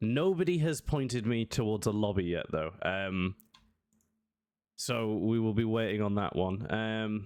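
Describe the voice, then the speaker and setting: Lively intonation at a fairly slow pace, with very even loudness. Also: man, fairly low pitch for a man. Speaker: esports caster. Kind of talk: live commentary. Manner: casual rambling filler-heavy.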